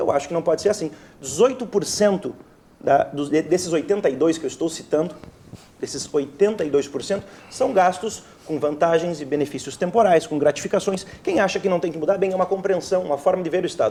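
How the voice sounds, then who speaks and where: A man's high-pitched voice at a fairly quick pace. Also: ordinary pitch variation. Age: young. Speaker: state legislator. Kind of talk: heated debate.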